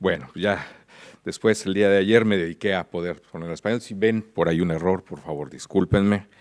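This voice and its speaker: Speaking at a moderate pace with ordinary pitch variation, a man talks in a Mexican accent. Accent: Mexican Spanish, kept. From Mexico. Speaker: international policy expert, conference speaker. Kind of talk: conference keynote. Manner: hesitant, many fillers.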